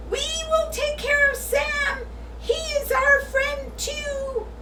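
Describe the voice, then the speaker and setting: A squeaky put-on character voice at an extremely high pitch drags along at a very slow pace. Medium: read story.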